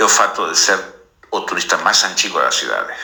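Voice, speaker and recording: A man with an Argentine accent speaks amid audible room echo. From Argentina. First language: Spanish (speaking Portuguese). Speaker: visual artist. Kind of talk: radio interview.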